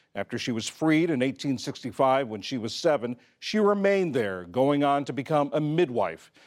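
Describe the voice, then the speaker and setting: A man with a normal speaking voice, fairly high in pitch, with lively intonation at a moderate pace, in a very clean recording over a silent background. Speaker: news program presenter. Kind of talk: news reading.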